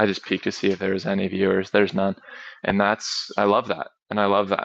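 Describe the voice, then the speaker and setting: In a monotone, flat intonation, a man with a fairly low pitch talks very fast. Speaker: talk show host. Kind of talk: solo livestream talk. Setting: livestream. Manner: casual, hesitant.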